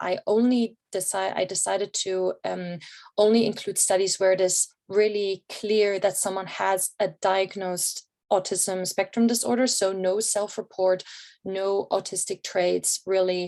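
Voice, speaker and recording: A fairly slow pace and fairly even intonation mark this speech with a German accent. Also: woman. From Germany. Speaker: researcher. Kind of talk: conference presentation. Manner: many filler words and hesitations.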